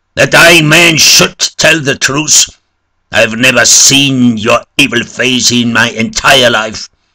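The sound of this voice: Putting on a character voice, a man speaks slowly at a medium pitch with a bright, sharp tone and fairly even intonation.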